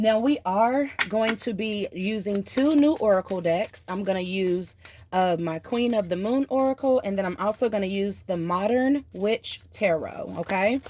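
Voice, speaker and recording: Hardly any pauses break up this woman's fairly slow speech, delivered at a medium pitch with ordinary pitch variation in a Southern US accent over noticeable background noise. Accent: Southern country. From US South. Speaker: tarot reader. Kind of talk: tarot reading. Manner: animated.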